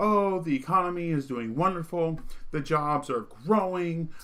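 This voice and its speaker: With a bright, sharp tone, a man speaks at a moderate pace with ordinary pitch variation. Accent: slight Vermont. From Vermont. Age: 30s. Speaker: political commentary streamer. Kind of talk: monologue commentary.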